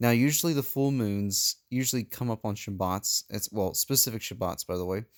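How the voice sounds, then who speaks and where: Heard dry and close with no echo on a very clean recording with a silent background, a man speaks at a medium pitch and a moderate pace, with ordinary pitch variation and hardly any pauses. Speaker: religious video maker. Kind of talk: teaching video. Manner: halting, speech difficulty; hesitant with fillers.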